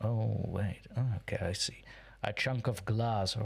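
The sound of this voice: The intonation is fairly even. An unforced reading voice carries the text.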